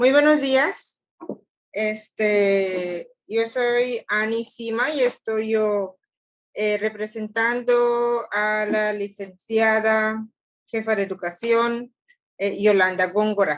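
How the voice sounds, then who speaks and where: A woman with a fairly high voice talks very slowly, her intonation fairly even. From Belize. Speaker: education official. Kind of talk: meeting comments. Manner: hesitant, with fillers.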